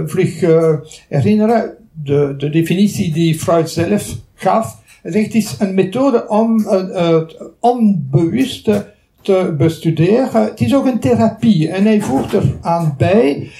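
A man with a Belgian French accent speaks at a very slow pace, high in pitch with lively intonation. His tone is dark and mellow, and his loudness stays very even. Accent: Belgian French accent in Dutch. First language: French (speaking Dutch). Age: 70s. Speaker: retired psychology professor. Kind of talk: lecture. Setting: lecture hall with audience. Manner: halting.

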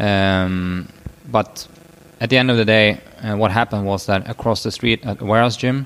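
A man with a Swedish accent speaks at a moderate pace with fairly even intonation. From northern Sweden. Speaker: physiotherapist and powerlifting coach. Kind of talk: casual chat.

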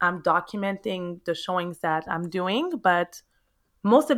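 In a very clean recording with a silent background, a woman speaks at a medium pitch with a Quebec accent. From Montreal, Quebec, Canada (Haitian parents). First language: French. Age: 30s. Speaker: realtor. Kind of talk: interview. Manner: animated, exuberant.

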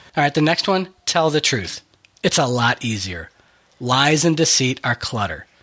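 Here a man with a fairly high pitch uses a normal speaking voice. His intonation is lively and his pace moderate. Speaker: podcast host. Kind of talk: casual chat.

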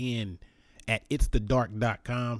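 Recorded very cleanly against a silent background, a man with medium pitch and a normal speaking voice talks at a fairly slow pace. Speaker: podcast host. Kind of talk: casual interview chat.

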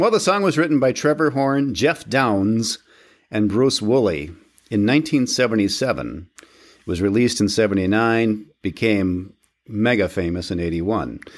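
Heard on a very clean recording with a silent background, a man with an ordinary speaking voice talks at a moderate pace, fairly low in pitch, with lively intonation. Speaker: podcast host. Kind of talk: casual banter. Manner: joking, laughs often.

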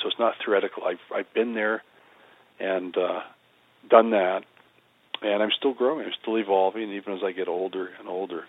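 A man at a moderate pace with a fairly low pitch. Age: 60s. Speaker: psychotherapist and spiritual teacher. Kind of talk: interview conversation.

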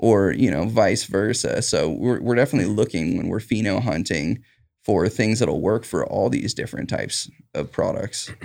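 A man speaks with a West Coast accent. His pace is moderate. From Southern Oregon, Rogue Valley. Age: 30s. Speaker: cannabis farm worker. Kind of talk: interview. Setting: studio.

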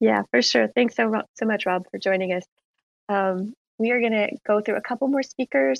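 A woman speaks at a medium pitch and moderate pace with lively intonation in a plain, everyday voice. The sound is dry and close with no echo, over a quiet background. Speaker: head of creator relations, space moderator. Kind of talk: live audio chat hosting. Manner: frequent fillers and laughter.

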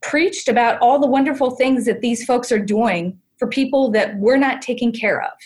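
A somewhat breathy woman's voice at a moderate pace with ordinary pitch variation. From US Midwest, Ohio. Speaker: senior living designer and entrepreneur. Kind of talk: casual interview.

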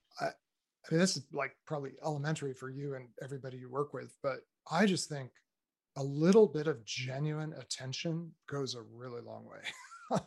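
A man with a normal speaking voice and a fairly high pitch, at a moderate pace, ordinary pitch variation and big swings in loudness. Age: 50s. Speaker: author and speaker on faith and technology. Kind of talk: casual interview conversation.

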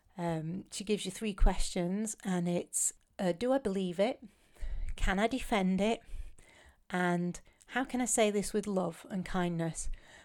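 Medium-pitched female speech with a British accent, ordinary pitch variation, a fairly slow pace and long, frequent pauses, in a very clean recording with a silent background. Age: 40s. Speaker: podcast host. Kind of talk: casual monologue. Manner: halting.

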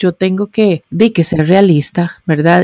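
Dry and close with no echo, a woman's dark, mellow voice has a fairly low pitch, ordinary pitch variation and a fairly slow pace. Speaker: podcaster and digital marketing blogger. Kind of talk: interview.

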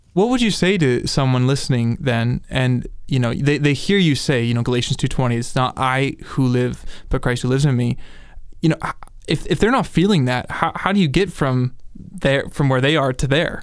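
In a normal speaking voice, the speaker keeps a very even loudness at a moderate pace with ordinary pitch variation. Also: man, medium pitch for a man. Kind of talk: casual interview. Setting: studio.

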